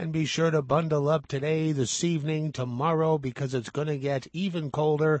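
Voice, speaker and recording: Moderately paced and fairly even in intonation, the man's fairly high-pitched voice is an ordinary speaking voice. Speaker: radio announcer, weather. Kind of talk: weather report.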